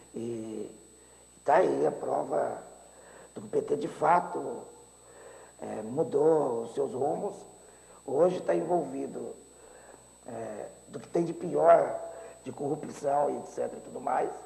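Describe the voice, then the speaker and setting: A man at a very slow pace, with long, frequent pauses, big swings in loudness and audible room echo. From Brazil, interior of São Paulo state. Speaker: teacher and mayoral candidate. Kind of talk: political interview. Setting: TV studio.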